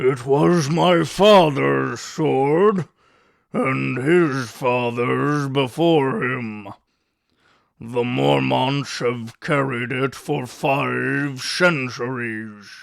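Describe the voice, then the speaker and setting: Very slowly, a man performs a put-on character voice at medium pitch with ordinary pitch variation. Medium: read story. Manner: gruff, blunt.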